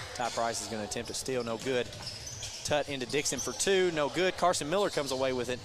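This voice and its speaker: A man talks at a fairly quick pace with audible room echo and music in the background. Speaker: play-by-play radio announcer. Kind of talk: live sports commentary. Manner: fast.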